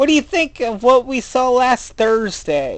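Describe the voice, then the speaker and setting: A female-sounding, put-on character voice speaks at a fairly slow pace. Its pitch is fairly high, and the background is quiet. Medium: read story. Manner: inquisitive, wry.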